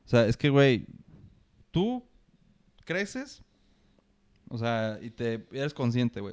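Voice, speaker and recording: In a Mexican accent, a man speaks at a moderate pace and medium pitch. The sound is dry and close with no echo. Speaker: student podcaster. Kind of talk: casual chat.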